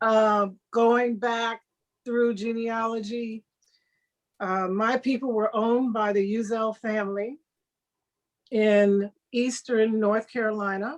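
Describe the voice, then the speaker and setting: A woman with an American accent at a fairly high pitch, very slow pace, monotone, flat intonation and long, frequent pauses. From US Midwest (Chicago, Terre Haute). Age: 70s. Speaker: actress. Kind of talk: interview.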